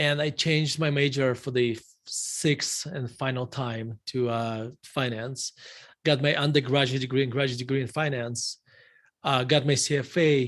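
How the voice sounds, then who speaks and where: A man with a Russian accent speaks at a moderate pace in a medium pitch, his intonation flat and monotone. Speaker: value investor, fund manager. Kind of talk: interview. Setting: live stream interview.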